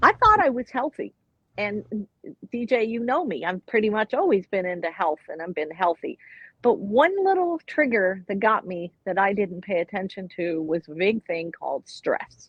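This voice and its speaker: An ordinary speaking voice from a woman with an American accent, medium in pitch, lively in intonation, at a moderate pace. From Florida. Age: 60s. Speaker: retired nurse. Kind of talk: interview. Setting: live online show.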